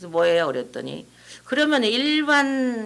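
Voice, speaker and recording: Audible echo fills the room. The pitch swings very widely. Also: woman. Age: 70s. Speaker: pastor's wife and Bible teaching author. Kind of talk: informal talk to a church audience.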